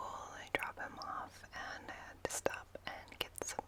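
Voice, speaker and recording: A whispering woman at a very slow pace, with noticeable background noise. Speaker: stay-at-home mom, ASMR content creator. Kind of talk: whispered ASMR vlog, casual talk to camera. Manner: whispered, soft-spoken.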